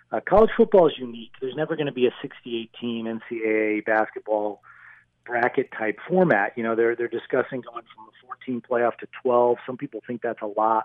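A man with a plain, everyday voice talks at a moderate pace and medium pitch. His pitch varies in an ordinary way, while his loudness swings widely. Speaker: sports organization executive. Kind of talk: interview.

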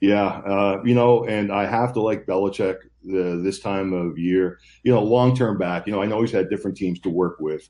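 In an unremarkable speaking voice, a man talks at a moderate pace with fairly even intonation. His pitch is fairly low, and the background is quiet. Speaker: handicapper. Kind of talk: casual sports betting chat.

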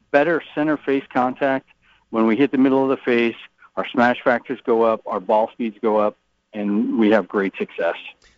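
A man with a normal speaking voice, medium pitch and ordinary pitch variation. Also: moderate pace. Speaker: golf shaft sales director. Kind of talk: interview. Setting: trade show in Orlando.

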